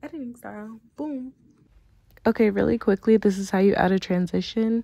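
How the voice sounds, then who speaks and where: Soft-spoken and fairly high-pitched, a woman talks at a moderate pace in a dark, mellow tone with ordinary pitch variation. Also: dry, close sound with no echo. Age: 20s. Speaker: content creator, video tutorial maker. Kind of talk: tutorial. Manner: casual.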